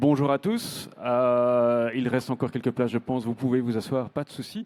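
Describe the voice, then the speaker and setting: With a slight Belgian accent, a man speaks at a medium pitch and moderate pace with monotone, flat intonation, in a dry, close sound with no echo but noticeable background noise. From northern Belgium. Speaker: round-table moderator, podcast host. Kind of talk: conference panel moderation. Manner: hesitant, many fillers.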